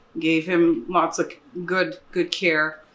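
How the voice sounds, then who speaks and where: A woman speaks at a fairly low pitch with a Canadian accent. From Canada. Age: 60s. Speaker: patient's wife. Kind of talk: testimony.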